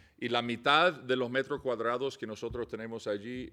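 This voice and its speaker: Speaking with an English accent, a man keeps a medium pitch and a moderate pace. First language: English (speaking Spanish). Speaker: missionary. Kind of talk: casual chat. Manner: halting.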